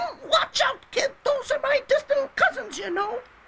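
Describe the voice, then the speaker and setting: This is a put-on character voice, squeaky and extremely high in pitch. The tone is nervous and whiny, at a moderate pace. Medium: audio drama. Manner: nervous, whiny.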